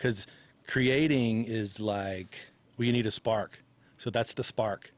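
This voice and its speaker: Heard on a very clean recording against a silent background, a plain, everyday voice carries ordinary pitch variation. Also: man. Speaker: musician guest. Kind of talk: casual banter chat.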